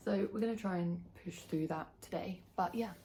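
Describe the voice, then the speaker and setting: A woman's somewhat breathy voice, dark and mellow in tone, medium in pitch, at a moderate pace. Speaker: book vlogger. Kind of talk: casual monologue to camera. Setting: home, filming to camera. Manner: speaking quietly.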